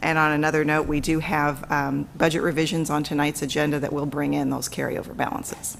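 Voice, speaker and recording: A woman with a very deep, low pitch and vocal fry speaks fairly quickly in a monotone, flat intonation with hardly any pauses, and the room echo is audible. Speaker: school district finance officer. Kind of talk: budget presentation at public board meeting. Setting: school board meeting room. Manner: fast.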